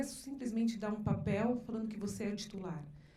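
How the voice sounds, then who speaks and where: A woman talks at a very fast pace with medium pitch and fairly even intonation. Audible room echo and noticeable background noise surround her. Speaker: lawyer, seminar panelist. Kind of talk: seminar presentation. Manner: halting, many false starts.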